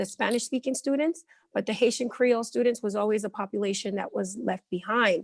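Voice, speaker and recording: The sound is dry and close with no echo, against a quiet background. The pace is fairly quick. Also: woman. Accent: American. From Elizabeth, New Jersey, US. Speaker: ESL teacher. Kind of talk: interview.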